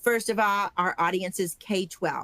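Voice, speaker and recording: In a dry, close recording with no echo, a woman with an ordinary speaking voice and medium pitch talks at a moderate pace. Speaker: conference organizer. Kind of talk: training webinar.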